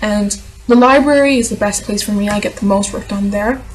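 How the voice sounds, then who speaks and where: Moderate pace from a woman, over noticeable background noise. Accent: non-native. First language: not English. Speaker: vlogger and aspiring novelist. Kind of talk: casual vlog answering tag questions.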